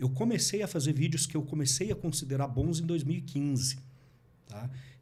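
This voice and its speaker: A somewhat breathy man's voice, fairly high in pitch with a dark, mellow tone and ordinary pitch variation, at a fairly quick pace amid audible room echo. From Paraná, Brazil (interior and Curitiba). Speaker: politician and digital marketing content creator. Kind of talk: podcast interview.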